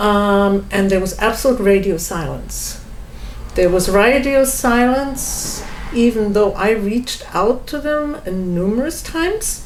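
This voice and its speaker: Speaking very slowly, a woman with a German accent uses a fairly high pitch. There is noticeable background noise and audible room echo. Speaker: home seller. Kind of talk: testimony.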